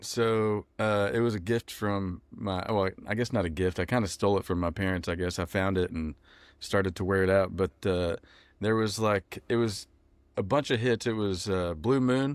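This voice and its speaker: This man has an American accent and a fairly low pitch. His pitch variation is ordinary and his pace moderate. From West Texas (Odessa). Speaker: country musician. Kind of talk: interview. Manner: casual, hesitant with fillers.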